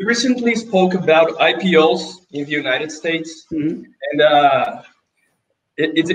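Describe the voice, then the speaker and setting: Here a man with a Portuguese accent speaks at a fairly high pitch with lively intonation. Light background noise can be heard. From Brazil. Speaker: investment interviewer. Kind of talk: interview. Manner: halting. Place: office.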